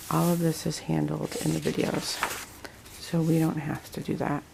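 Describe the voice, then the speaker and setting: A woman talks at a very slow pace. Background noise is noticeable throughout. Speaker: homeschooling mom vlogger. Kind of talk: casual vlog update. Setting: at home. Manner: hesitant, many fillers.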